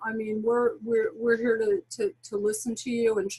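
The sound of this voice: A woman with a fairly high pitch talks at a moderate pace with little pitch movement. Her tone is dark and mellow, with a husky, rough edge.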